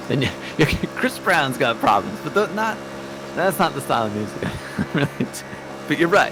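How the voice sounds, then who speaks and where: Pitch swings very widely at a fairly quick pace, broken by long, frequent pauses. Background noise is noticeable. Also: man, medium pitch for a man. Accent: American. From US Pacific Northwest (Oregon). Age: 30s. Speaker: sim racing teammate. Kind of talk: casual chat. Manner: halting, many fillers and repeats.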